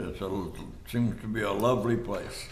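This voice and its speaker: In a West Texas accent, a man of medium pitch speaks at a fairly slow pace with ordinary pitch variation, and the room echo is audible. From Texas, Haskell and the Panhandle. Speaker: war veteran. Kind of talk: oral history interview. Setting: studio. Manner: halting.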